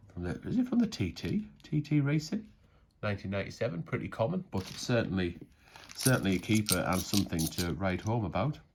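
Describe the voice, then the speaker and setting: Fairly quick speech in a northern English accent. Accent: northern English, broad. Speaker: coin collecting youtuber. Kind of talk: casual commentary while sorting coins. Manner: casual, conversational.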